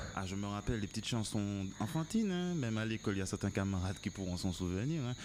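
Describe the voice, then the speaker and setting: Very fast speech comes from a man. His pitch is fairly low. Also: ordinary pitch variation. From Martinique. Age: 30s. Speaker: musician. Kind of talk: casual interview chat. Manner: hesitant, many fillers.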